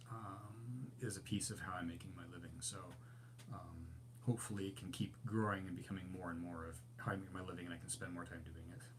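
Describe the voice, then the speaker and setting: A man speaks at a moderate pace in a fairly low, somewhat breathy voice with ordinary pitch variation. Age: 60s. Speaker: overlanding channel host, graphic designer. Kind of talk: live stream Q&A chat. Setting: live stream. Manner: casual, hesitant with many fillers.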